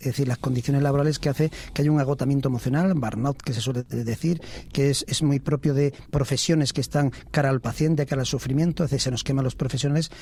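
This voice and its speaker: A man rushes along at a very fast pace, his fairly high, somewhat breathy voice dark and mellow in tone, with fairly even intonation. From Spain, Ávila province (Valle del Tiétar). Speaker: family doctor, medical association president. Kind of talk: radio interview. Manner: measured, with frequent hesitations.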